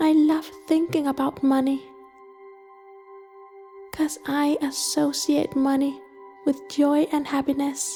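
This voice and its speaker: A woman with a high pitch speaks at a very slow pace, leaving long, frequent pauses. Her intonation stays fairly even and her loudness very even, with music in the background. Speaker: guided meditation narrator. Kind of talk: first-person money affirmations.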